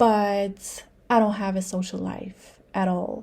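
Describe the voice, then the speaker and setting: On a very clean recording with a silent background, a woman speaks at a very slow pace and medium pitch. Her tone is dark and mellow, somewhat breathy, with fairly even intonation. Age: 30s. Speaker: vlogger. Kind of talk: personal vlog monologue. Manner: casual, many fillers.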